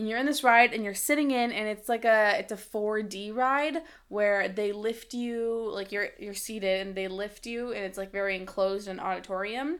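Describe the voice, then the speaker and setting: A woman talks in a plain, everyday voice, fairly high in pitch, with hardly any pauses. The recording is very clean with a silent background. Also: ordinary pitch variation, moderate pace. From Cuban-American community, US. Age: 20s. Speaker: podcast guest, host's roommate. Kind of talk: casual chat.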